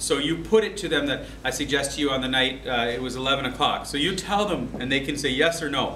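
At a fairly quick pace, a man speaks with light background noise and audible room echo. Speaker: teacher. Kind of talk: lecture. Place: classroom. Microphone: camera far.

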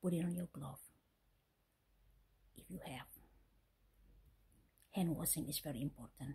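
A woman whispers in a somewhat breathy voice, with long, frequent pauses and big swings in loudness. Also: moderate pace. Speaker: vlogger. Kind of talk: casual talk to camera. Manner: whispered. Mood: friendly, smiling, earnest. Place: home room. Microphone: phone near.

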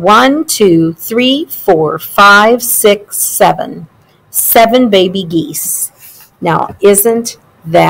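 Plain reading aloud comes through with lively intonation.

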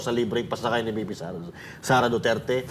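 A man talks at a fairly quick pace in an unremarkable speaking voice. His intonation stays fairly even. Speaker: political commentator. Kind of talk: casual commentary.

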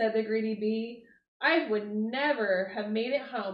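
An unforced reading voice is heard against a quiet background.

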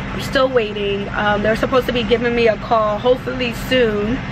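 Background noise stands out noticeably. Over it, a woman talks. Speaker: truck driver vlogger. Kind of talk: casual vlog chat. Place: car. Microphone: phone near.

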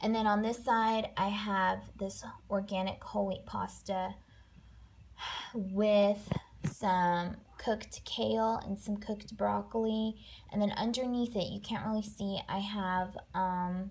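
Intonation is flat and monotone as a woman speaks. Her pace is very slow. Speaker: food vlogger. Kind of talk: casual vlog chat. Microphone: phone near.

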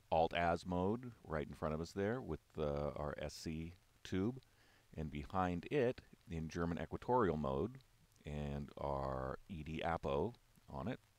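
A man speaks at a very slow pace. His pitch is very deep and low, and the sound is dry with no echo. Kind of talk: product walk-through commentary. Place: hall. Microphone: phone near.

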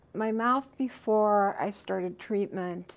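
A woman speaks at a very slow pace. Her intonation is fairly even. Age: 50s. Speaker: dental patient. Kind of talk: testimonial interview answer. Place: studio.

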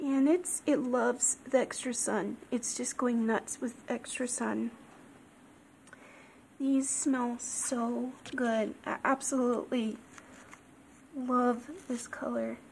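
A soft-spoken woman with a high pitch talks at a very slow pace with long, frequent pauses and fairly even intonation over light background noise. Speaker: orchid grower. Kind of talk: casual talk to camera. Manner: extra soft-spoken. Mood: cheerful, affectionate. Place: home room. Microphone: phone near.

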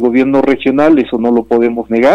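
A man's dark, mellow tone, fairly even in intonation, on a dry recording with no echo. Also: quiet background. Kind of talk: interview answer. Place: office. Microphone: video call.

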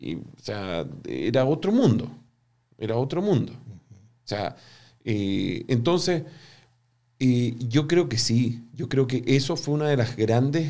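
A man's medium-pitched voice with a dark, mellow tone and lively intonation, at a very slow pace over a quiet background. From Chile. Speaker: business professor and entrepreneur; business professor. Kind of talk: interview. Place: studio. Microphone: studio mic.

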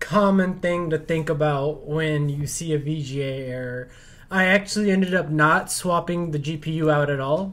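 Very slow speech with ordinary pitch variation. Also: man. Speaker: tech YouTuber, PC builder. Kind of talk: tutorial with angry rant. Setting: studio. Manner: animated, ranting, exasperated; gloating, sarcastic. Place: home room. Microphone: camera far.

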